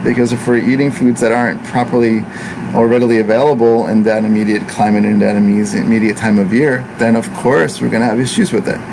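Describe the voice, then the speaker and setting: Speaking very fast at very even loudness, a man with a medium pitch keeps a fairly even intonation amid audible room echo and noticeable background noise. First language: Italian. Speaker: ayurvedic practitioner. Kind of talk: casual talk to camera.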